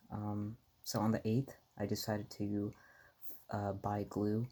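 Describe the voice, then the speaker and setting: The speaker is soft-spoken. The delivery moves at a very slow pace. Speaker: amateur stock trader vlogger. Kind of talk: casual vlog talk. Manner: halting, many fillers.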